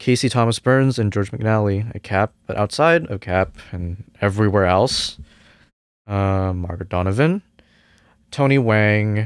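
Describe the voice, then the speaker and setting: At a fairly slow pace, a man with a Cantonese accent speaks with a fairly low pitch. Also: ordinary pitch variation. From Hong Kong, then Canada from age nine. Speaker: jazz music student. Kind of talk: casual interview chat.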